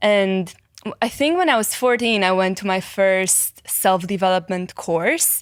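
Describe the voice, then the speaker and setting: A woman speaks with a slight Romanian accent at a fairly slow pace. Her pitch is medium, with ordinary variation. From Romania, Cluj. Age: 20s. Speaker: psychology content creator and life coach. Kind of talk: podcast interview.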